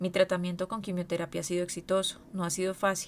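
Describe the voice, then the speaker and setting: This is a woman speaking. Her pitch is medium. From Colombia, Medellín. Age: 30s. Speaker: cancer patient. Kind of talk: testimony.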